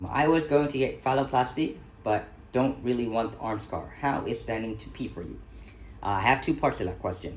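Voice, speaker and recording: A man with vocal fry, medium pitch and ordinary pitch variation, at a fairly quick pace with big swings in loudness. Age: 30s. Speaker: YouTuber. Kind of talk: Q&A vlog. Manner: casual, hesitant with fillers.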